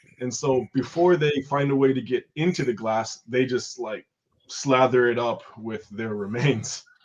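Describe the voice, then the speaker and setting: With an American accent, a man in a plain, everyday voice speaks fairly slowly at medium pitch, with ordinary pitch variation. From rural Oregon, US. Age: 30s. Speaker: guest, window cleaner in Japan. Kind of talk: casual chat.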